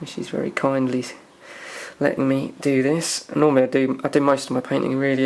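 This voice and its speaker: With an English accent, a man talks at a very fast pace and a medium pitch in a monotone, flat intonation against noticeable background noise. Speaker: hobbyist miniature painter. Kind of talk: tutorial. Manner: casual, hesitant with fillers.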